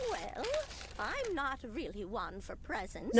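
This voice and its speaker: Someone performs a put-on character voice at a fairly slow pace amid loud background noise. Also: woman, high pitch for a woman. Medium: game stream. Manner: warm, doting.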